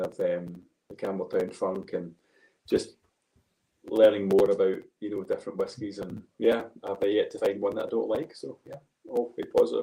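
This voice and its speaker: The voice has a Glaswegian accent. Its pace is moderate. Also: man. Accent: Glaswegian, milder than host's. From Scotland, Glasgow. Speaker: golf coach and whisky enthusiast. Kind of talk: casual chat.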